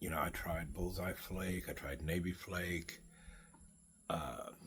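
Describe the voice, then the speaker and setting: A man speaks at a very slow pace with a very deep, low pitch and vocal fry. His pitch varies in an ordinary way. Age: 60s. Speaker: pipe smoking vlogger. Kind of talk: casual monologue. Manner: halting.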